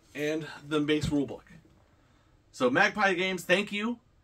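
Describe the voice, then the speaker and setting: A man's voice with ordinary pitch variation over a quiet background. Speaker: unboxing vlogger. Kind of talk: casual unboxing vlog chat. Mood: enthusiastic, relaxed. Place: home room. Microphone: camera far.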